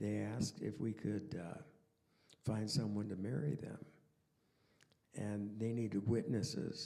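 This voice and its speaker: A man with a fairly low pitch and vocal fry, at a fairly slow pace, with ordinary pitch variation and long, frequent pauses. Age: 80s+. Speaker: artist and friend on a panel. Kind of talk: panel discussion anecdote.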